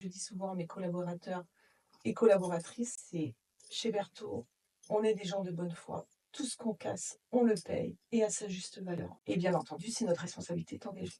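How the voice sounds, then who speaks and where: A woman speaks at a moderate pace in a dark, mellow tone, with medium pitch, ordinary pitch variation and some vocal fry. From Brittany, north Finistère, France. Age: 40s. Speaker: insurance claims manager at a transport company. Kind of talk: interview testimony.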